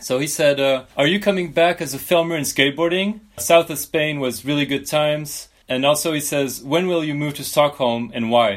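With a French accent and a fairly high pitch, a man speaks at a moderate pace with ordinary pitch variation and hardly any pauses in a very clean recording with a silent background. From France. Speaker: podcast host. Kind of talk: casual interview.

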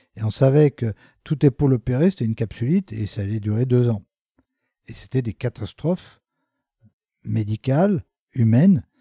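A man with a somewhat breathy, dark, mellow tone speaks at medium pitch and a moderate pace, his intonation lively and his pauses long and frequent. The recording is very clean with a silent background and a dry, close sound with no echo. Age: 60s. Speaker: orthopedic surgeon. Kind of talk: interview. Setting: office.

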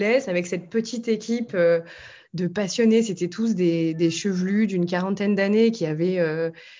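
A woman with a medium pitch and ordinary pitch variation talks at a fairly slow pace in a plain, everyday voice. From French Alps, later Belgium. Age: 30s. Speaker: author and former journalist. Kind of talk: interview.

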